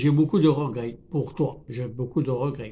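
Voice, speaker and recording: A somewhat breathy male voice, fairly high in pitch, with a dark, mellow tone and ordinary pitch variation. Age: 70s. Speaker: YouTuber teaching French. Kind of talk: tutorial. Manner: halting, many repetitions.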